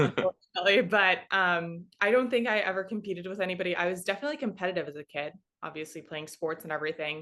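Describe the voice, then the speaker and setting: A woman with a Chicago accent speaks at a very fast pace with hardly any pauses, in a bright, sharp tone at medium pitch with ordinary pitch variation, against a quiet background. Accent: US Midwest (Chicago area). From Chicago northwest suburbs, US Midwest. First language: Russian. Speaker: sports in-game host. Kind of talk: interview.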